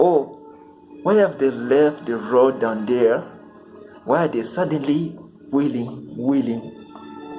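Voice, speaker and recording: With music in the background, a man talks at a fairly slow pace using lively intonation. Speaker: amateur poetry reader. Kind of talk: reading aloud.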